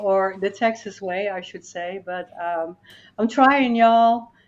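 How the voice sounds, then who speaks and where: A woman's medium-pitched voice at a fairly slow pace over a quiet background. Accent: Dutch. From Netherlands. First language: Dutch. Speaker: life coach and motivational speaker. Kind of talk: interview podcast conversation.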